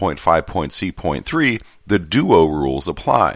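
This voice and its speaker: Male voice marked by vocal fry. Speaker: podcast host reading a postal union contract manual. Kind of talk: reading aloud. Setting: home recording on a laptop. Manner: lively, not monotonous.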